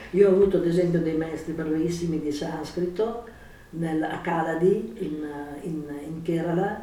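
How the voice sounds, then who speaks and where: The speech moves at a moderate pace, and noticeable background noise can be heard throughout. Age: 70s. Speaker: yoga teacher. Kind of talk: interview.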